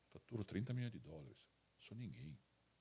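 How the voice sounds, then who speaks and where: A man with a slight Italian accent uses lively intonation on a very clean recording with a silent background. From Italy. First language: Italian (speaking Portuguese). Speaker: company CEO. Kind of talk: interview podcast. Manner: halting, many repetitions.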